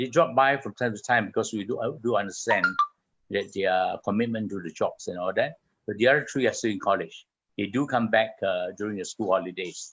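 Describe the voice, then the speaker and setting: A man with an ordinary speaking voice talks at a fairly quick pace, his pitch medium and its variation ordinary. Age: 60s. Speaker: children's home co-founder and caretaker. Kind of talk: radio interview.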